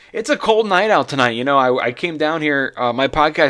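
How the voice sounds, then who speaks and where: The man's lively intonation and fairly quick pace come through over noticeable background noise. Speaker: podcast host. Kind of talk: casual chat. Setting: home garage podcast studio.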